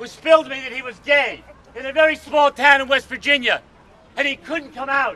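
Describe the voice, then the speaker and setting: A man speaks in a raised, projected voice at an extremely high pitch, bright and sharp in tone. His pace is moderate, and the sound is dry and close with no echo. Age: 60s. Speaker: activist at a rally. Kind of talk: rally speech.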